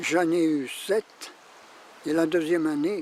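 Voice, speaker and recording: Against noticeable background noise, a man talks very slowly at a high pitch. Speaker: retired schoolteacher. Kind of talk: documentary interview, reminiscence.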